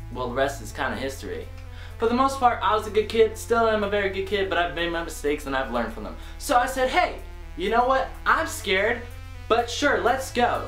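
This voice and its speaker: A man talks at a fairly quick pace in a room with audible echo, faint music playing behind him. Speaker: vlogger. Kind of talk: casual vlog chat, story time. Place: home room.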